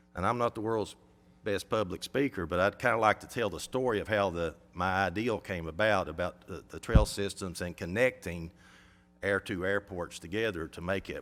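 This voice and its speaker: A man with an Appalachian accent speaks at a moderate pace and a fairly low pitch, his loudness swinging widely, in a very clean recording with a silent background. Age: 60s. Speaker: airport operator. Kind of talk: public comment at a county meeting. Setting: county government meeting.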